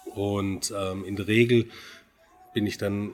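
Noticeable background noise sits behind a man with a fairly low pitch. His intonation is fairly even. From Swabia, Baden-Württemberg (Göppingen). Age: 40s. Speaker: wedding photographer. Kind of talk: casual interview.

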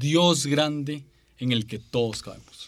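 A man with a Costa Rican accent and fairly even intonation. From Costa Rica, San José. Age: 20s. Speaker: podcaster and preacher. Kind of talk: casual interview. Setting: studio.

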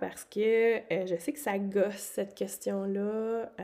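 This woman speaks at a medium pitch with ordinary pitch variation. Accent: Quebec. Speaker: podcast host. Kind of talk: solo monologue podcast. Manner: casual, many hesitations.

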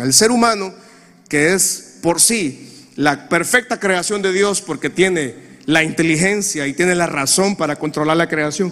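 A man's high-pitched voice at a fairly slow pace. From Honduras. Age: 40s. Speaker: pastor. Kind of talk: sermon.

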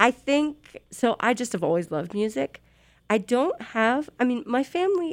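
A high-pitched woman's voice with very wide pitch swings, at a moderate pace. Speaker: radio DJ and music coordinator. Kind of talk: casual interview chat. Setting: studio. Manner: animated.

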